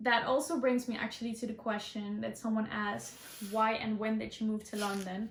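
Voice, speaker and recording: A woman with a Dutch accent speaks at a fairly quick pace. Her fairly high voice stays monotone and flat. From Netherlands. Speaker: student and beauty vlogger. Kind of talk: casual Q&A vlog. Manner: hesitant, many ums.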